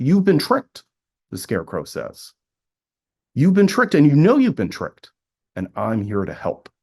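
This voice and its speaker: A man's fairly high voice with vocal fry, very wide pitch swings and a fairly quick pace over a quiet background. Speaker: professor. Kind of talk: conference Q&A answer. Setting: video call.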